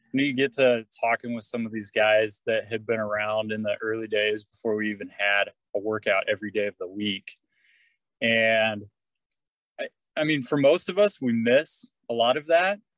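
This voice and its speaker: A man with an unremarkable speaking voice talks at a moderate pace and medium pitch with ordinary pitch variation, the sound dry and close with no echo. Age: 30s. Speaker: construction teacher, fitness group member. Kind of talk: casual interview.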